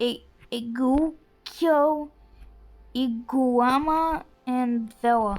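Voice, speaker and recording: A woman with a high pitch speaks at a very slow pace. Her pauses are long and frequent. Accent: non-native. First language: not English. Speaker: gaming youtuber. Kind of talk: gameplay commentary. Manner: halting; animated.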